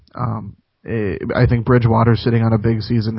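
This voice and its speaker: A somewhat breathy male voice with an American accent. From Minnesota, US. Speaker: sports radio host. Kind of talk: sports talk radio interview. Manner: halting, many repetitions and fillers.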